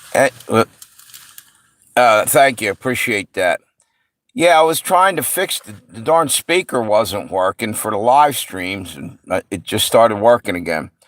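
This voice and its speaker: Dry and close with no echo, this voice has a slight New York accent, a fairly slow pace, very wide pitch swings and big swings in loudness. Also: man, medium pitch for a man. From US Mid-Atlantic (Pennsylvania/Delaware area). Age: 60s. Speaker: livestream host. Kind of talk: casual chat. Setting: live stream.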